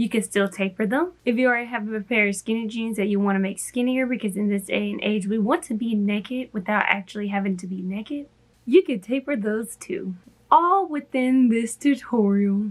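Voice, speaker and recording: At a fairly quick pace, a somewhat breathy voice sounds upbeat and playful, its pitch varying in an ordinary way. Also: woman, fairly high pitch for a woman. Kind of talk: sewing tutorial to camera. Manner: upbeat, playful.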